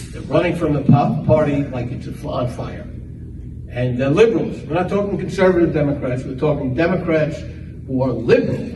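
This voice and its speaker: A man with a New York accent speaks with ordinary pitch variation and big swings in loudness. Audible room echo and noticeable background noise surround him. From New York, the Bronx. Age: old. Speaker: political candidate. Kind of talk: campaign speech. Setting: club meeting with audience.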